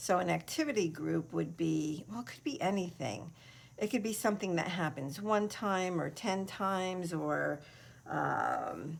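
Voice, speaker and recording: Speaking fairly slowly with an American accent, a woman uses a fairly low pitch with ordinary variation and vocal fry. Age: 60s. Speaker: craft video creator. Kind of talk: casual chat. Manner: hesitant, many fillers.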